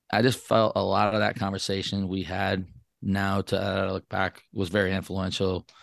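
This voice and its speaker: A man's very deep, low voice with an American accent at a moderate pace, in monotone, flat intonation, with a dry, close sound with no echo and a quiet background. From northern Michigan, Traverse City. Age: 40s. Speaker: Air Force veteran and podcaster. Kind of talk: interview.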